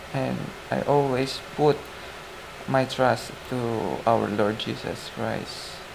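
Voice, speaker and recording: A soft-spoken man talks at a very slow pace. Audible room echo and noticeable background noise surround his voice. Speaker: lay preacher sharing devotion. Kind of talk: devotional talk. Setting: lying down in bed. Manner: halting.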